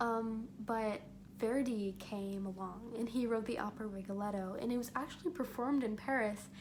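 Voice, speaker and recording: A woman speaks in an animated tone at a moderate pace, her fairly high pitch showing ordinary variation. There is audible room echo and noticeable background noise. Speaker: student vlogger. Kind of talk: casual monologue. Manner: animated, some stumbling.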